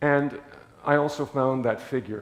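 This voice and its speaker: A man speaks with a medium pitch at a moderate pace. Audible room echo surrounds his voice. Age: 80s+. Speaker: lay preacher. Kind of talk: sermon. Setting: church.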